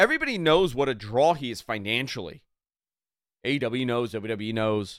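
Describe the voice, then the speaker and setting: In a very clean recording with a silent background, a man speaks at a medium pitch and a moderate pace, his tone animated and his intonation lively. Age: 40s. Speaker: wrestling radio host. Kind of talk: sports radio talk show.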